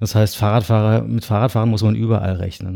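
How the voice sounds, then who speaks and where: Dry, close sound with no echo on a very clean recording with a silent background: a man, fairly low-pitched, dark and mellow in tone, in a monotone, flat intonation. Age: 40s. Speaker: architect and cycling blogger. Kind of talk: casual interview. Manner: hesitant with many fillers.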